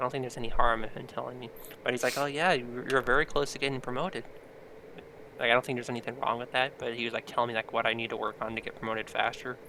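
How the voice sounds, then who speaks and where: Speaking quietly and very fast, a man keeps a medium pitch and fairly even intonation. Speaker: podcast co-host; restaurant cook. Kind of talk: casual chat.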